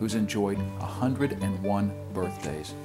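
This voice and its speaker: Music plays in the background as a man speaks at a moderate pace. His pitch is fairly low. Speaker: documentary host. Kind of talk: documentary narration.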